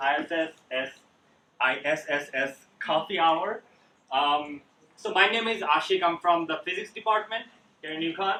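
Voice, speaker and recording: With lively intonation, a man talks in a high pitch at a fairly slow pace. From Bangladesh. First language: Bengali. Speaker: graduate student presenter. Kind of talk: presentation to audience.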